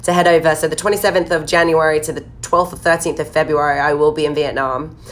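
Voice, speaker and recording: A woman talks at a very fast pace. Her tone is animated. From southern England. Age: 20s. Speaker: fitness coach. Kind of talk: live stream Q&A.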